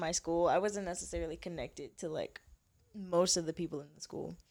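In a plain, everyday voice, a woman speaks at a fairly low pitch and a moderate pace with ordinary pitch variation. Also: very clean recording, silent background. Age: 20s. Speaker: model. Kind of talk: casual chat.

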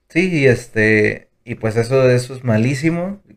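A man speaks at a fairly slow pace in a medium pitch, with ordinary pitch variation. His is an ordinary speaking voice. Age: 20s. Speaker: business management engineer. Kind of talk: casual chat.

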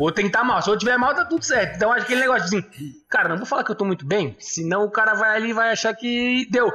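A man's raised, projected voice, high in pitch with ordinary pitch variation, over noticeable background noise. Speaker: podcast co-host. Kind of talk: casual chat.

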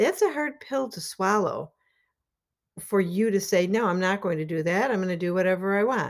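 Using an ordinary speaking voice, a woman speaks with ordinary pitch variation and a moderate pace. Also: medium pitch for a woman. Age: 60s. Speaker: life coach and podcast host. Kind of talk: motivational monologue. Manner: casual, conversational.

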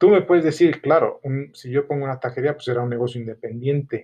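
This man's voice is somewhat breathy. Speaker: small business owner. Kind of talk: solo podcast monologue. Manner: halting.

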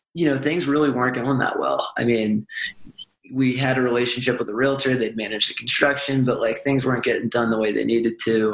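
With an American accent and a normal speaking voice, a man talks at a fairly quick pace and medium pitch, his loudness very even and his intonation fairly even. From US Northeast, Boston. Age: young. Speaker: real estate investor. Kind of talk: interview. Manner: casual, many filler words.

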